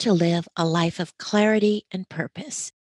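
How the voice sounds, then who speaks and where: With a plain, everyday voice, a woman speaks at medium pitch with ordinary pitch variation, and the sound is dry and close with no echo. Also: very clean recording, silent background. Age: 60s. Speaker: podcast host. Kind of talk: interview; scripted intro.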